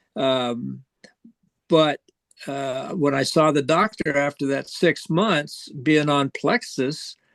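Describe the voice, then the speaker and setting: The delivery is very slow, with ordinary pitch variation. The sound is dry and close, with no echo. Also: man, fairly high pitch for a man. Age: 80s+. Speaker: customer giving testimonial. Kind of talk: testimony. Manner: halting, many fillers and repeats.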